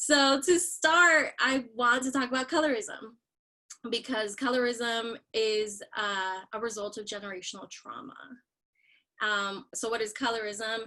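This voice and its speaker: Against a quiet background, a woman speaks at a fairly slow pace in a Spanish accent. Her voice is fairly high, with a bright, sharp tone. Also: ordinary pitch variation. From Miami, Florida (born Nicaragua). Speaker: writer and speaker. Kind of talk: talk to students. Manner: colloquial.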